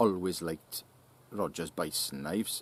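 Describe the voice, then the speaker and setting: Vocal fry runs through the speech, delivered at a fairly slow pace. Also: man. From South Wales (Llanelli). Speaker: YouTuber answering viewer questions about knives. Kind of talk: casual Q&A reading viewer comments.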